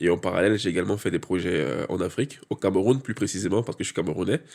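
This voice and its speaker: The recording is very clean with a silent background, capturing a man whose pitch sits fairly low. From Cameroon, moved to France at age ten. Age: 30s. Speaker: real estate investor. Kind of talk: podcast interview. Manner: hesitant with many fillers.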